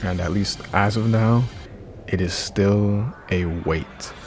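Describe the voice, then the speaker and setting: Music plays in the background as a man speaks in a calm tone with fairly even intonation. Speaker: YouTuber, VR commentator. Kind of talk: opinion commentary. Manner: monotone; calm, laid-back.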